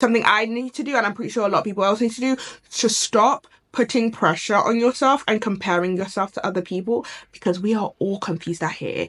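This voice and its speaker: Talking at a very fast pace, a woman with a British accent uses ordinary pitch variation. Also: fairly high pitch for a woman. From UK. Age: 20s. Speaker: lifestyle YouTuber. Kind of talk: casual talk to camera.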